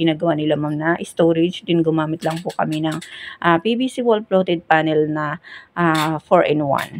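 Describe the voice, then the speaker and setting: A soft-spoken woman with a fairly low pitch at a fairly quick pace against a quiet background. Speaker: building contractor. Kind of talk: voice-over home tour. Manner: soft, quiet voice.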